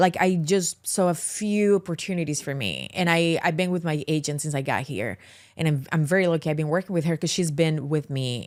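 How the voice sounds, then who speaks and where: With a Colombian accent, a woman talks at a fairly quick pace in a very deep, low pitch. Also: ordinary pitch variation, very clean recording, silent background. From Colombia, Medellín. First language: Spanish. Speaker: actress. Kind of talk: podcast interview. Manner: halting, with many repeated words.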